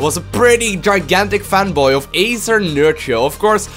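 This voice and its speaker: A man talks with an excited tone and lively intonation. Music plays in the background. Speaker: StarCraft 2 commentator. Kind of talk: esports game commentary. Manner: excited, fast-paced.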